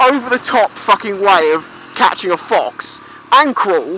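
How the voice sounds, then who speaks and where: A British accent in a dry recording with no echo and noticeable background noise. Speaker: motorcycle vlogger. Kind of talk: casual talk to camera. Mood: opinionated, ranting with swearing. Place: motorbike. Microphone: helmet.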